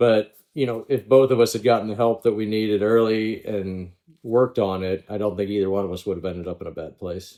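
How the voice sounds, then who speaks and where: A man's plain, everyday voice, fairly low in pitch, at a fairly quick pace with fairly even intonation. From Pittsburgh, Pennsylvania. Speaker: former pro golfer. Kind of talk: podcast interview.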